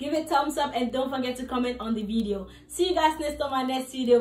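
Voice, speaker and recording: A woman speaks in a raised, projected voice with ordinary pitch variation. The room echoes audibly, and faint music plays in the background. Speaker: fitness vlogger. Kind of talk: casual vlog chat. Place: home room. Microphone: phone near.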